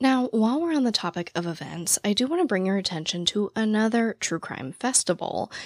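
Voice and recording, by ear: A woman speaks at a fairly high pitch with lively intonation and a raspy voice, at a moderate pace. The sound is dry and close with no echo, in a very clean recording with a silent background.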